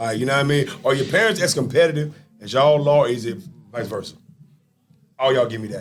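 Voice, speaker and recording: A man with an American accent speaks loudly and very fast at a medium pitch, with lively intonation. Long, frequent pauses break up his speech. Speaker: sports podcast host. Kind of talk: casual interview chat. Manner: animated.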